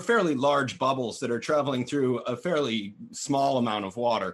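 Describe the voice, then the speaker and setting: At a moderate pace, a man speaks at a medium pitch with an unremarkable speaking voice. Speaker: cannabis grower, light tester. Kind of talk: casual panel chat. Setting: live stream video call.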